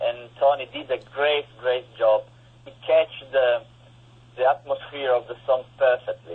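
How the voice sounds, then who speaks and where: At a fairly slow pace, a man speaks with an Italian accent. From Italy. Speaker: guitarist and composer. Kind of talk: interview. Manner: halting.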